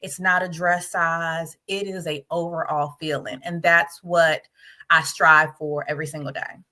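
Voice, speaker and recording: A woman with an American accent speaks fairly slowly at a fairly low pitch, in a bright, sharp tone. Her intonation is monotone and flat, though her loudness swings widely. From Virginia (Arlington, DC area). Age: 40s. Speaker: project manager and life coach. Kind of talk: interview conversation.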